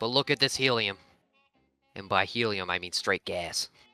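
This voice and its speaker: A man's put-on character voice at medium pitch and moderate pace, dry and close with no echo, faint music in the background. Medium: actual play. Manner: loud, excitable, jokey.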